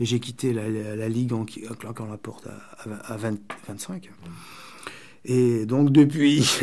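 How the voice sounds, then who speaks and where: Big swings in loudness mark a man's slow-ish speech at a fairly slow pace, medium in pitch with ordinary pitch variation, a dark, mellow tone, and long, frequent pauses. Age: 60s. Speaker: poet and writer, former far-left activist. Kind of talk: radio interview. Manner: halting, searching for words.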